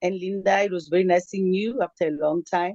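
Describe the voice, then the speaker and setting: A woman speaks at a medium pitch in a dark, mellow tone. The sound is dry and close, with no echo. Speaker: former teacher running parent circles. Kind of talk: closing remarks in video call.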